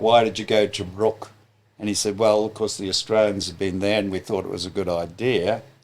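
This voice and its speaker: A man with a plain, everyday voice talks at a fairly quick pace and a fairly low pitch. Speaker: retired air force officer. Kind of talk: podcast conversation.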